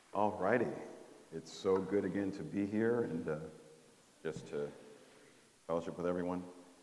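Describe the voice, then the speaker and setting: Delivery is at a moderate pace with fairly even intonation and long, frequent pauses. Audible room echo is present. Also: man, very deep, low pitch for a man. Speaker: trainer. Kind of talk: workshop presentation. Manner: halting.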